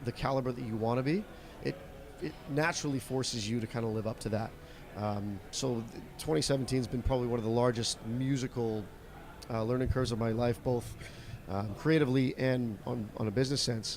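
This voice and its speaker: A man with a medium pitch talks at a fairly quick pace. His intonation stays fairly even. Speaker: country singer. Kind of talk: interview. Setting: video call. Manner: halting, many fillers.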